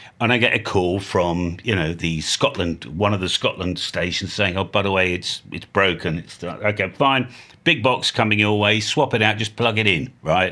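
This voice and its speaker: A man with an English accent speaks with a fairly low pitch and ordinary pitch variation. His pace is moderate. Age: 60s. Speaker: ham radio youtuber. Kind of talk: casual vlog monologue. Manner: rambling, free-flowing; animated.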